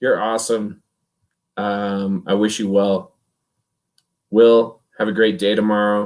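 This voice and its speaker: A man speaks at a very slow pace. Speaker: sports podcast host. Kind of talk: casual chat. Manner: quiet.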